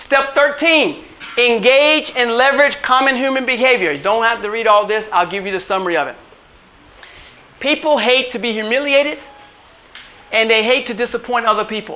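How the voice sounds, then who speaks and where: Against noticeable background noise, a raised, projected voice moves at a fairly quick pace with an animated tone, ordinary pitch variation, and long, frequent pauses. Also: man, extremely high pitch for a man. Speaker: chiropractor and wellness coach. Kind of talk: motivational workshop talk. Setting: workshop with live audience. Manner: fast.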